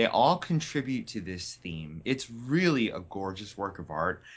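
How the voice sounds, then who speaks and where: An unremarkable speaking voice from a man with an American accent, fairly slow in pace and lively in intonation. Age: 30s. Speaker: card game tournament champion. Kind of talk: casual interview.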